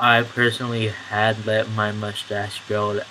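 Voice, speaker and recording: Against noticeable background noise, a man speaks with a fairly low pitch and monotone, flat intonation. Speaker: vlogger. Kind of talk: video diary update. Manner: halting, many fillers.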